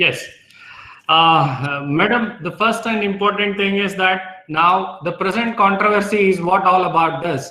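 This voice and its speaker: A man's raised, projected voice at a high pitch, bright and sharp in tone, at a fairly slow pace with audible room echo. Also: ordinary pitch variation. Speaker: resource person answering research questions. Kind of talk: Q&A session in an online faculty workshop. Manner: hesitant, many fillers.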